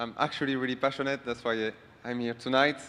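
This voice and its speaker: Bright and sharp in tone, a man's medium-pitched voice shows ordinary pitch variation in a French accent. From France. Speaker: award-winning business partner. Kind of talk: acceptance speech.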